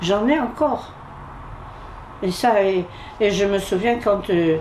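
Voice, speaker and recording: The speech moves at a very slow pace with very even loudness and ordinary pitch variation, over audible room echo and noticeable background noise. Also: woman, medium pitch for a woman. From Algeria (Algiers, Bab El Oued). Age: 80s+. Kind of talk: interview testimony. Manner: halting.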